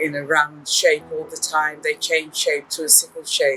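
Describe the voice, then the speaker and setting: A woman with an English accent speaks at a very slow pace amid noticeable background noise. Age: 60s. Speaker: documentary interviewee, patient. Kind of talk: documentary interview.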